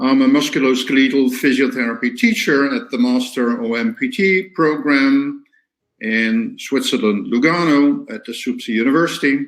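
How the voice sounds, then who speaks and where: The speaker has a Dutch accent and ordinary pitch variation. The pace is moderate. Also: man, fairly high pitch for a man. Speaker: physiotherapy teacher. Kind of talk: lecture. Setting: online webinar. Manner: halting, many fillers.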